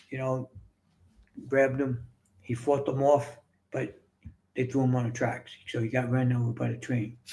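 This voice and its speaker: Speaking in a New York accent with a dark, mellow tone, a somewhat breathy man with a medium pitch delivers a flat monotone at a moderate pace, with long, frequent pauses. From New York City. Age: 60s. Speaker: author and fitness coach. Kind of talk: casual interview, personal storytelling.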